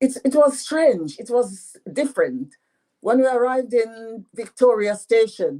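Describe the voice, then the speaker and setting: In a French accent, the speaker goes at a fairly slow pace. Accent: French patois accent, still has it. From Dominica. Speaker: author. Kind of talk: radio interview.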